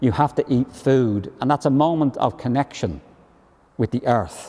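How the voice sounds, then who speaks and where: A man with a Dublin accent, dark and mellow in tone, at a moderate pace with ordinary pitch variation. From Ireland, Dublin. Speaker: professor. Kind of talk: panel discussion.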